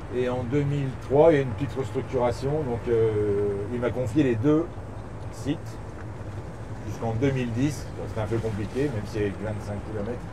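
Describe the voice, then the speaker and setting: Noticeable background noise and audible room echo surround a man of medium pitch who talks at a moderate pace with ordinary pitch variation. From eastern France, Bourg-en-Bresse area. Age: 50s. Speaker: golf club director. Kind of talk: casual interview during a golf round. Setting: outdoors on golf course.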